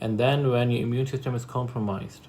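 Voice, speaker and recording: A man in a Pakistani accent, somewhat breathy, medium-pitched and monotone with flat intonation. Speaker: vlogger sharing illness experience. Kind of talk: personal testimony vlog. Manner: unscripted, halting.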